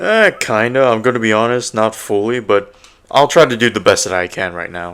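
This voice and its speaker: A man talks at a moderate pace with ordinary pitch variation. His pitch is medium. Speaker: podcast co-host reviewing anime. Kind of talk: casual chat. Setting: live stream. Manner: loud.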